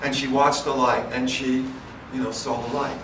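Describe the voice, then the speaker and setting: Noticeable background noise and audible room echo are present in this recording. A man with an American accent talks at a moderate pace and a medium pitch. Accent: New York accent, stronger when excited. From New York City. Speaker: physician and contact researcher. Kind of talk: conference lecture. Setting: conference stage with audience.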